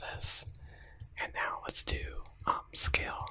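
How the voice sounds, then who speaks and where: A whisper with noticeable background noise behind it. The pace is fairly slow. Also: man. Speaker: ASMR creator. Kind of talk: ASMR software tutorial. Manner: whispered.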